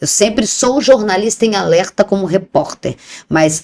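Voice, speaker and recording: In a very clean recording with a silent background, a woman's voice comes through. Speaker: TV journalist and presenter. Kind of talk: interview conversation. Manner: animated; talkative.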